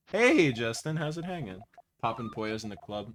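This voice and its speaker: A man's strained, put-on character voice at a medium pitch and moderate pace, with lively intonation. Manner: funny, strained.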